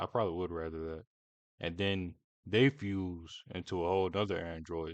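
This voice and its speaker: A man's very deep, low voice sounds dry and close with no echo, over a quiet background. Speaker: reaction youtuber. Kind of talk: casual reaction commentary.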